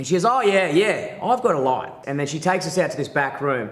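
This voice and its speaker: Loud and animated, a man with a high voice speaks in an Australian accent with lively intonation. Room echo is audible. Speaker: stand-up comedian. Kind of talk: casual chat.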